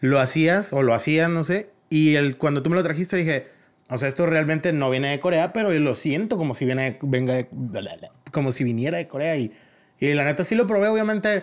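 Here a man speaks at a fairly quick pace. His fairly high voice has lively intonation. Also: very clean recording, silent background. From Mexico, La Paz, Baja California Sur. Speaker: choreographer and dance academy director. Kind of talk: casual chat. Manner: animated.

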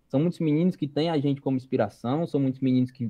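A man speaks with a Ceará accent. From Brazil, interior of Ceará. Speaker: youth organization national leader. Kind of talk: casual chat. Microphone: lagging connection.

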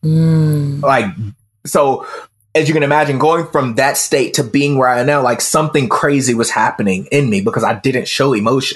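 A man with a plain, everyday voice speaks in an American accent at a moderate pace, his pitch fairly high with ordinary variation and his loudness very even. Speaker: self mastery coach. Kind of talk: casual interview.

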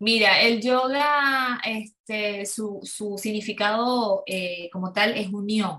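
Speaking very slowly, a woman hardly pauses at all. Her pitch sits fairly high, with ordinary variation. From Venezuela, Ciudad Ojeda near Maracaibo. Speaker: yoga instructor. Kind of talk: interview. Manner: halting, many fillers.

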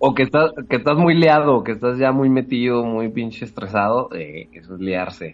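A man with a medium-pitched voice talks at a moderate pace with hardly any pauses. His intonation is lively, and his loudness swings a lot. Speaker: podcast guest. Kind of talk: casual chat.

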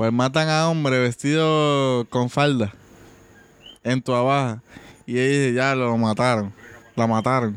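At a very slow pace, a man of medium pitch talks with long, frequent pauses. His loudness stays very even and his intonation fairly even. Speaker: podcast co-host. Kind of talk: casual chat.

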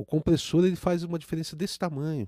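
A man's dark, mellow voice, fairly high in pitch, at a fairly quick pace, in a dry, close sound with no echo on a very clean recording with a silent background. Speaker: music producer and audio engineer. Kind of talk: casual chat. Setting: live stream.

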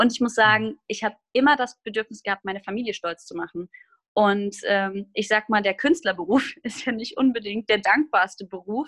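A woman speaks in a normal speaking voice, fairly high in pitch with ordinary pitch variation. Her moderate pace comes through in a dry, close sound with no echo. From Hesse, Germany (Groß-Gerau). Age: 20s. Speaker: musical theatre performer. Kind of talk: casual interview chat.

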